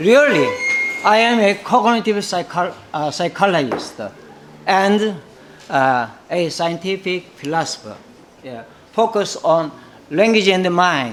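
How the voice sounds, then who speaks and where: Against noticeable background noise, a man with a Korean accent and a high pitch speaks very slowly, with lively intonation and long, frequent pauses. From South Korea. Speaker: professor. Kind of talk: conference keynote speech. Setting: conference. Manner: halting, many fillers.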